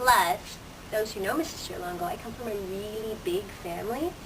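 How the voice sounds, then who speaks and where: In a room with audible echo and noticeable background noise, a woman at medium pitch talks at a very fast pace. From Canada, Toronto. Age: 30s. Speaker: teacher. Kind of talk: student interview. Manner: casual with many fillers.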